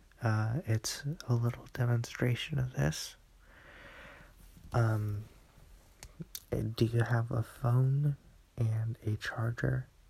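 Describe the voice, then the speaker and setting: Soft-spoken and somewhat breathy, a man talks at a very slow pace with a dark, mellow tone. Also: long, frequent pauses. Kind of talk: casual chat. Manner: quiet, soft-spoken.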